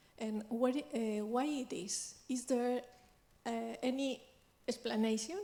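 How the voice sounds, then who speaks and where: A woman's high-pitched voice with a dark, mellow tone, a non-native accent, a very slow pace and ordinary pitch variation. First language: Spanish. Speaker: audience member asking a question. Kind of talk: audience question. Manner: halting, many fillers.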